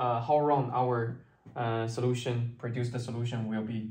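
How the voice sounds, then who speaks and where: A somewhat breathy man at a fairly slow pace, with audible room echo. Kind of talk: lecture. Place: classroom. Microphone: camera far.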